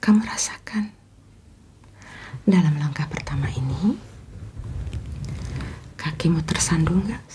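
A soft-spoken woman talks in a gentle tone at a fairly slow pace and fairly low pitch. Light background noise can be heard. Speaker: motivational speaker. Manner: soft-spoken, gentle ASMR voice. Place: home room. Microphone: phone near.

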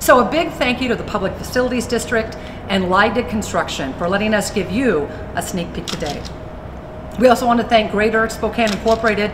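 A woman talks at a very fast pace. Background noise is noticeable. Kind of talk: formal address. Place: hall.

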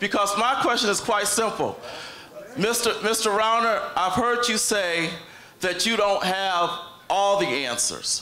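A man's high, raised, projected voice at a very slow pace, with ordinary pitch variation and very even loudness, plus audible room echo and light background noise. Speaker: city clerk candidate, audience questioner; candidate, questioner. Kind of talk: audience question. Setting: stage with audience. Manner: halting. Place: hall.

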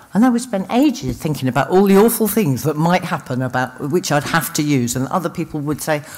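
Very wide pitch swings at a moderate pace from a female speaker, noticeable background noise behind. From London. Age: 50s. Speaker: recovering addict, speaker. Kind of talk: recovery testimony. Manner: halting.

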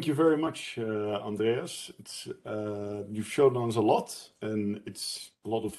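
Speaking at a fairly slow pace with ordinary pitch variation, a man uses a dark, mellow tone at a fairly low pitch against a quiet background. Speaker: event co-host. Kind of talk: event moderation. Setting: video call. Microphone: video call.

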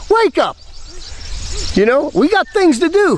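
A man with an American accent speaks at a moderate pace, his pitch swinging very widely. The sound is dry, with no echo. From United States. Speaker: missionary preacher. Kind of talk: sermon. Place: waterside. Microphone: phone near.

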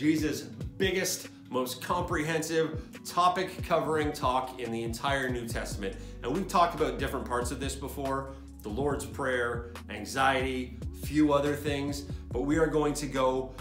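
A man speaks at a moderate pace while clear music plays behind him. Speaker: youth pastor. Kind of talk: sermon. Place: home room. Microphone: phone near.

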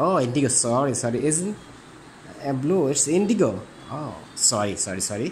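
A speaker with a Bengali accent talks at a fairly quick pace over light background noise. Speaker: interviewer. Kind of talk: casual interview. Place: home room.

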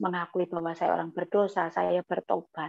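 A woman's medium-pitched voice at a moderate pace against a quiet background. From East Java, Batu Malang; East Java. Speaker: guest. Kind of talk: testimony. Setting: video call. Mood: emotional, earnest storytelling. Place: home room. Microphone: earbuds.

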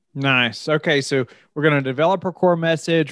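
Fairly quick male speech with ordinary pitch variation, a quiet background and dry sound with no echo. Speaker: podcast host. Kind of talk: interview conversation. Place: home room. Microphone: studio mic.

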